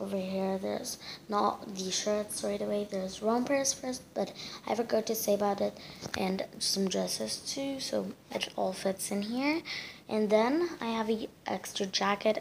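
Over noticeable background noise, a woman talks fairly slowly at a medium pitch with ordinary pitch variation. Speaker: lifestyle vlogger. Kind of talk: casual talk to camera.

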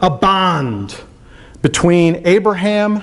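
This is a man speaking at a high pitch. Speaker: pastor. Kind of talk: sermon. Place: church. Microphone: podium.

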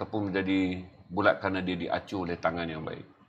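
Over light background noise, a man talks at a moderate pace in a fairly low voice. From Malaysia. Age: 50s. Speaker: talk show host; interviewer host. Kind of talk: interview. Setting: studio. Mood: earnest, probing. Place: studio. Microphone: lapel.

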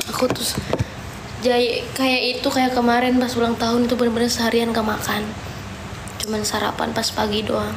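Noticeable background noise runs behind a woman's voice. She speaks in a high, flat monotone at a fairly quick pace. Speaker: livestreamer. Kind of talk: casual livestream chat. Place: home room. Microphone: phone near.

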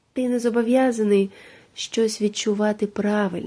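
Quiet and calm, a woman speaks in a fairly high pitch with a dark, mellow tone. Her intonation is monotone and flat. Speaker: meditation guide. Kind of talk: meditative monologue for sleep. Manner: calm, quiet; slow, soft-spoken.

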